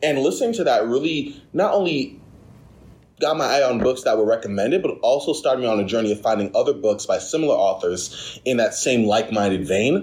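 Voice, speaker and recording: A man speaks at a medium pitch with lively intonation. His loudness stays very even. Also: fairly quick pace. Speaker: podcast host, library staff. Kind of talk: casual podcast chat. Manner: fast talker.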